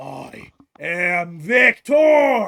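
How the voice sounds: A gruff, high-pitched put-on character voice from a man, with very wide pitch swings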